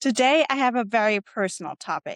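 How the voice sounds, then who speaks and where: Against a quiet background, a woman with a German accent talks with ordinary pitch variation in a dry, close sound with no echo. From Germany. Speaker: podcast host. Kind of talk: solo podcast monologue.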